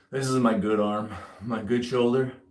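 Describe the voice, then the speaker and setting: Audible room echo surrounds a man as he speaks. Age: 40s. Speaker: army veteran and home gym fitness streamer. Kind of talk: casual live stream chat while working out.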